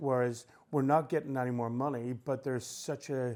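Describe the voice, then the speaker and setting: In a Northern Irish accent, a man talks at a moderate pace with medium pitch and monotone, flat intonation, on a very clean recording with a silent background. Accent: Northern Irish, noticeable. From Northern Ireland, Belfast. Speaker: musician and music promoter. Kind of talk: radio interview. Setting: radio studio, on a sofa.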